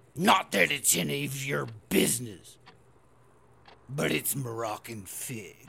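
A man speaks at a fairly slow pace in a medium pitch, his voice swinging very widely up and down. Long pauses come often. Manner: stern, barking orders.

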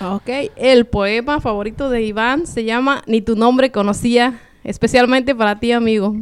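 A woman's fairly high voice, an unremarkable speaking voice, fairly slow with hardly any pauses and fairly even intonation. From Michoacán, Mexico. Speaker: poet. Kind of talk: interview.

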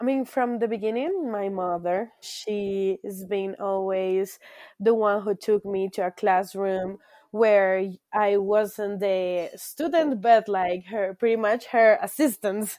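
Very slowly and with a Spanish accent, a woman speaks in a medium pitch and a dark, mellow tone, with ordinary pitch variation. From Colombia. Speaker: high school teacher, former au pair. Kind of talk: interview, casual conversation. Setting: video call, remote.

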